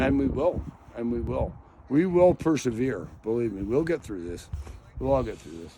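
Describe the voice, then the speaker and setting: Noticeable background noise, big swings in loudness and very wide pitch swings. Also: man, medium pitch for a man, moderate pace. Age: 60s. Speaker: retired scientist and ornithologist. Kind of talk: interview answer. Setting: outdoors. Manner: casual, profane.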